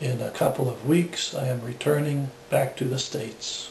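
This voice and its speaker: Over noticeable background noise and audible room echo, a man talks at a fairly slow pace in a monotone, flat intonation. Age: 60s. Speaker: patient giving testimonial. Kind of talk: testimony. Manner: measured, formal.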